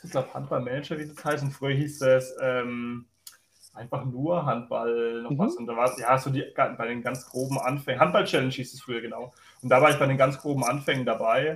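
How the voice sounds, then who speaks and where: The voice is somewhat breathy and moves at a fairly quick pace. Its intonation stays fairly even while the loudness swings widely. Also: man, medium pitch for a man. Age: 20s. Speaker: water police officer and gaming league admin. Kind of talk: casual chat.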